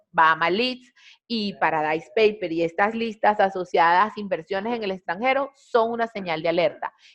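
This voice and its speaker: A plain, everyday voice, at a moderate pace with lively intonation. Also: woman, medium pitch for a woman. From Venezuela. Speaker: compliance trainer. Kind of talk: webinar presentation. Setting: online webinar.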